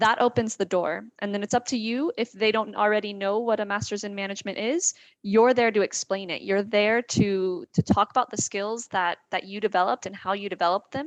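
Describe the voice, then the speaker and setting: A woman with an American accent and a plain, everyday voice speaks at a fairly quick pace with hardly any pauses, medium pitch and ordinary pitch variation, the sound dry and close with no echo against a quiet background. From United States. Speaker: admissions representative. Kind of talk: panel discussion.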